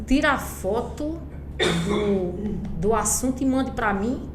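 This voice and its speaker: An animated woman is heard with audible room echo and noticeable background noise. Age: 50s. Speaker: retired schoolteacher. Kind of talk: podcast interview.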